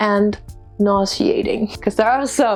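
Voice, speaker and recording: Music plays in the background as a woman speaks in a Danish accent. Her pitch varies in an ordinary way. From Denmark. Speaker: international student. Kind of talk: casual talk to camera.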